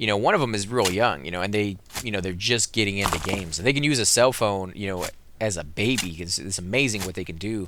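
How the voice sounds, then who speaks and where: A man with an American accent talks at a very fast pace in a fairly low pitch. His pitch varies in an ordinary way, with noticeable background noise behind him. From United States. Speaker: gaming video creator. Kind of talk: let's play commentary. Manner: casual, rambling with fillers.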